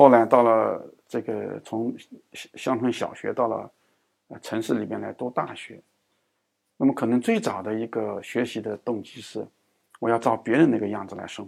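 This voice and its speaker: A man at medium pitch, monotone and flat, moderate in pace, with big swings in loudness and long, frequent pauses. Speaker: education professor. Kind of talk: interview. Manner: frequent hesitation fillers.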